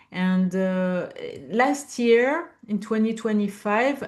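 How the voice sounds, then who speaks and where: A woman with a French accent at a very slow pace. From France. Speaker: business founder and CEO. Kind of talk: interview. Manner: halting, many fillers.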